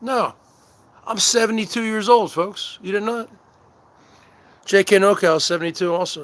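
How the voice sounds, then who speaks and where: In a New Jersey accent, the speaker keeps a moderate pace with long, frequent pauses. Loudness swings widely while pitch varies in an ordinary way. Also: man, high pitch for a man. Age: 40s. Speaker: livestream host. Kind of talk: casual livestream banter. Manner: wrestler-style promo delivery.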